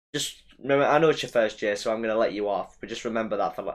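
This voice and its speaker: At a very fast pace, a man talks with a medium pitch and fairly even intonation. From West Midlands, England. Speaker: fantasy football streamer. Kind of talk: live stream chat with viewers. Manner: casual, conversational.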